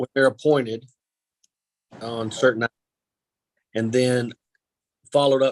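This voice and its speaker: A man speaks with a strong Kentucky accent in a monotone, flat delivery. The sound is dry and close, with no echo. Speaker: county attorney. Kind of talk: public meeting discussion. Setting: teleconference meeting.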